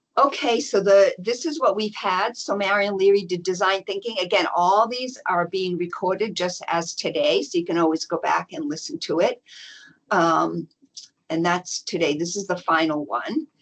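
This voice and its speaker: At a moderate pace, a woman with an unremarkable speaking voice talks at a medium pitch. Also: lively intonation. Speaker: event organizer presenting info session. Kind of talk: online information session presentation.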